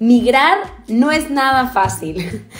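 Faint music plays in the background as a woman speaks with lively intonation. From Peru. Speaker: actress. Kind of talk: interview answer. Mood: earnest, explaining herself. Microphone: phone near.

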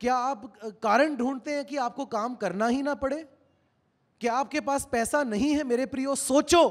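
A man's extremely high voice at a fairly slow pace, fairly even in intonation, over a quiet background. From India. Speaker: pastor. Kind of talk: sermon. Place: church. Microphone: handheld.

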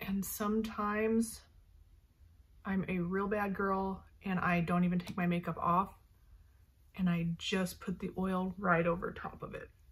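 A woman speaks fairly slowly in a monotone, flat way, sounding somewhat breathy. Long, frequent pauses break up her speech. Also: medium pitch for a woman. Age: 40s. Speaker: beauty vlogger. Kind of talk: casual tutorial. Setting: bedroom at night. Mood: relaxed, casual. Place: home room. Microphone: earbuds.

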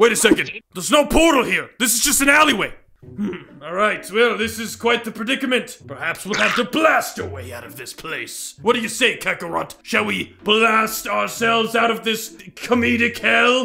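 Using a put-on character voice, a man speaks high in pitch at a moderate pace with hardly any pauses. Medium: role play. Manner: loud, exasperated, shouting.

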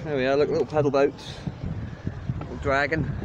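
A man's very fast speech, dry and echo-free, over noticeable background noise. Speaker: walking travel vlogger. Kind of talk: casual vlog chat. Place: waterside. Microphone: phone near.

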